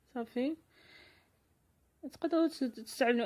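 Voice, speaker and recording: With a Moroccan accent, a woman speaks at a very fast pace in a dark, mellow tone with ordinary pitch variation. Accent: Moroccan Darija. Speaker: lifestyle vlogger. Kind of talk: vlog tutorial. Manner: halting.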